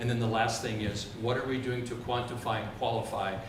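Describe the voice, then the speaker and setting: A man's medium-pitched, flat, monotone delivery at a fairly quick pace, with audible room echo and noticeable background noise. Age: 60s. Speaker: school board candidate. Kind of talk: candidate forum speech. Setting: public forum with audience.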